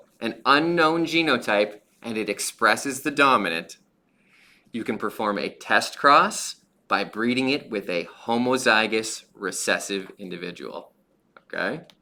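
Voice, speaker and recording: Lively intonation and a bright, sharp tone come from a man at medium pitch. The recording is very clean, with a silent background. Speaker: high school biology teacher. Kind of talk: lecture. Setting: livestream. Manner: fast; casual.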